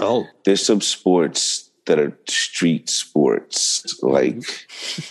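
In an American accent, a man speaks at a very slow pace. He uses hardly any pauses. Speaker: podcast co-host. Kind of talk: casual banter.

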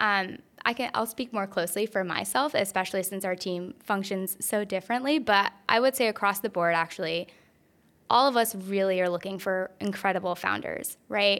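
In a normal speaking voice, a woman with an American accent talks at a moderate pace and medium pitch with ordinary pitch variation, on a very clean recording with a silent background. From North Carolina, US South. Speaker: venture capital investor. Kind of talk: interview. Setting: in-person recording at a conference.

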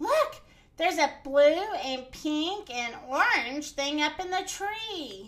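A woman does a put-on character voice, high in pitch and at a very slow pace. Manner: excited, quacking.

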